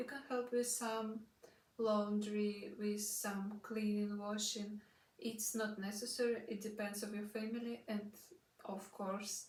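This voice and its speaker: In a Russian accent, a woman talks at a fairly high pitch and a fairly slow pace. Her delivery is monotone and flat, with audible room echo around it. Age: 20s. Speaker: au pair vlogger. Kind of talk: casual vlog talk. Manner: halting, many fillers.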